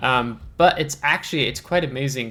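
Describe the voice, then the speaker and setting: Speaking fairly slowly in an American accent, a man has a medium pitch, fairly even intonation, vocal fry and a bright, sharp tone. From southern Indiana, US. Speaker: gaming YouTuber. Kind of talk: casual Q&A chat. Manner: halting, many fillers.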